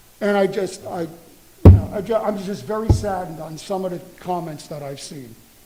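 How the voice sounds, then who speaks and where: A high-pitched man talks at a fairly quick pace with ordinary pitch variation and big swings in loudness. Noticeable background noise and audible room echo come through. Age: 60s. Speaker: public commenter, school bus driver. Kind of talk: public comment at board meeting. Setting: school board meeting.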